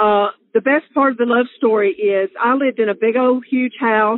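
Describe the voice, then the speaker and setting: Speaking at a fairly slow pace, a woman with a fairly high pitch talks with a Southern US accent. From Alabama, US South. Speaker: interviewee sharing love story. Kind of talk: personal storytelling. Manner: casual with many fillers.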